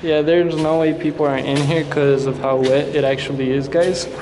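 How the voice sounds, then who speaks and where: Moderate pace against loud background noise. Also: man. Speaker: vlogger. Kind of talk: casual vlog chat. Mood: nervous, a bit scared. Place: tunnel cave.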